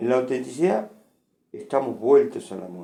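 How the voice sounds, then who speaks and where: This man's voice carries a dark, mellow tone. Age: 60s. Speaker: philosophy lecturer. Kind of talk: lecture. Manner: conversational with frequent fillers.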